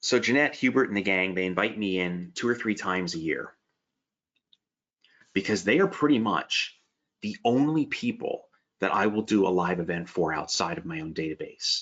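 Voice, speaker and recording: A man with an American accent speaks at a moderate pace in a fairly low pitch, his intonation lively and his speech broken by long, frequent pauses. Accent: slight Pennsylvania Dutch. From Pennsylvania Dutch country, Allentown area. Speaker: stock trading educator. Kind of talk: webinar presentation. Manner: casual, chatty.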